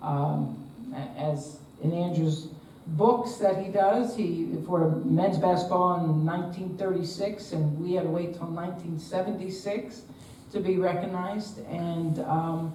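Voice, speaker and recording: A woman with a slight New Jersey accent talks at a fairly slow pace with fairly even intonation. The recording has audible room echo and noticeable background noise. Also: fairly low pitch for a woman. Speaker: retired basketball coach. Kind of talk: panel discussion.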